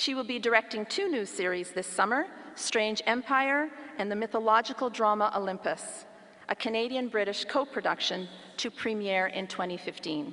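Pitch variation is ordinary. The speech goes along at a moderate speed. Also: woman. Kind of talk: formal ceremonial citation reading. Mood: formal, measured. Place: hall. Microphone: podium.

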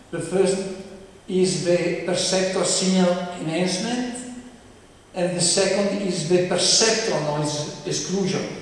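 A man with an Italian accent, heard through strong room echo. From Italy. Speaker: professor. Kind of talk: lecture. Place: hall.

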